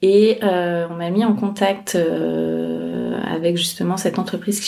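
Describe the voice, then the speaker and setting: Noticeable background noise is present. A woman speaks fairly slowly. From France, Scottish father. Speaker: podcaster and freelance digital strategist. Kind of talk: interview. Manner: hesitant, many fillers.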